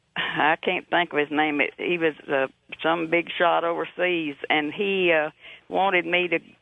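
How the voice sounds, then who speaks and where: The speech comes in a Texan accent. Its pace is fairly slow. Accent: Texan Southern US. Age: 80s+. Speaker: caller, eyewitness. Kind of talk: testimony. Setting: phone call.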